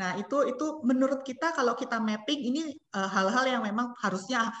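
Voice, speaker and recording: With lively intonation, a woman talks at a moderate speed. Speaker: company representative. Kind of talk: webinar presentation. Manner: hesitant, many fillers.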